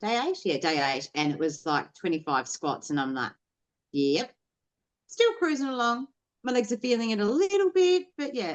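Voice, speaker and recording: At a moderate pace, a woman talks with fairly high pitch. Her pitch swings very widely. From Tasmania, Australia. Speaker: podcast guest, online artist. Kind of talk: casual chat. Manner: animated.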